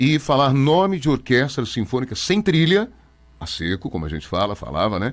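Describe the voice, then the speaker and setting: A man speaks at medium pitch with vocal fry and very wide pitch swings. The recording is very clean, with a silent background. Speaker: radio announcer. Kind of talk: interview. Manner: fast.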